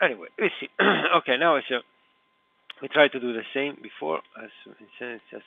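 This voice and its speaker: This man has an Italian accent and speaks at a medium pitch and a moderate pace. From Italy. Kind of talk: live screen-recorded computer walkthrough. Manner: hesitant, halting, many filler sounds.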